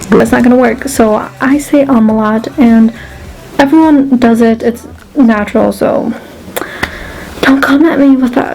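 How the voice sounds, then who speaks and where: This woman's voice sits high, with fairly even intonation and very even loudness. Her pauses are long and frequent, and there's noticeable background noise. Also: fairly slow pace. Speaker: beauty vlogger. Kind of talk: makeup tutorial. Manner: casual, many filler ums.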